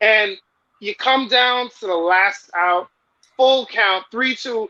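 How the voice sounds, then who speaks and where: A man's raised, projected voice at an extremely high pitch, bright and sharp in tone, at a fairly slow pace with ordinary pitch variation. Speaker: baseball fan guest. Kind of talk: casual chat. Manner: animated; loud.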